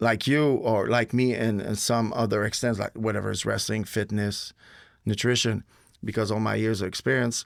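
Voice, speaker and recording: In a Quebec French accent, a man speaks at a moderate pace with fairly even intonation. His pitch is fairly low, and the recording is very clean with a silent background. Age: 40s. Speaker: retired pro wrestler. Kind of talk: casual chat.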